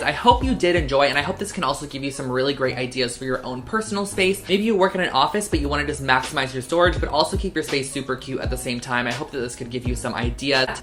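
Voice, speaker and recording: Music plays in the background as the speech moves at a very fast pace. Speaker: lifestyle vlogger. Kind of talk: DIY tutorial vlog. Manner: casual, chatty.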